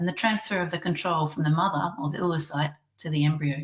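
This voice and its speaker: A woman with an Australian accent, very deep and low in pitch, talking at a very fast pace with fairly even intonation. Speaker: research scientist and webinar chair. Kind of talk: webinar introduction. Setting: online webinar. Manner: formal.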